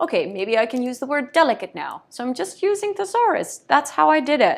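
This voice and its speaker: A woman with a non-native accent is heard on a very clean recording with a silent background. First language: not English. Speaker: brand consultant and copywriter. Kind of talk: tutorial. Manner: hesitant, many fillers.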